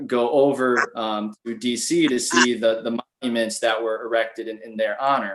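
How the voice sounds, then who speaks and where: Using a normal speaking voice, this man keeps a medium pitch, a moderate pace and fairly even intonation. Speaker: podcast host. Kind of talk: interview questions.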